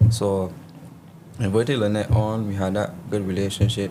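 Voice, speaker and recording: A man speaks at a fairly low pitch with fairly even intonation. Some room echo can be heard. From Barbados. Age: 30s. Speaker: politician. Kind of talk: interview.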